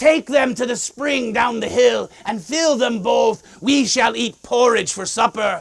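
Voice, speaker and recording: A man performs a put-on character voice at an extremely high pitch and a fairly slow pace with hardly any pauses. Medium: solo performance.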